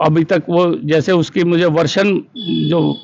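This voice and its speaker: This man has a high voice and fairly even intonation. Noticeable noise runs behind him. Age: 70s. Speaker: school director. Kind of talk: interview.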